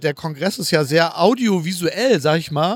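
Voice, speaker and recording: On a very clean recording with a silent background and a dry, close sound with no echo, a man speaks at a high pitch and a fairly slow pace with ordinary pitch variation. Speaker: podcast host, wheelchair user. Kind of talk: casual walking interview. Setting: convention hall. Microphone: distorted recording.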